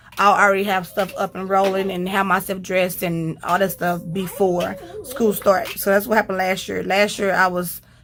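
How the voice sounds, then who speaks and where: A woman at a medium pitch, talking at a fairly quick pace over noticeable background noise. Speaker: homeschooling mom and vlogger. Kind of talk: casual tutorial vlog.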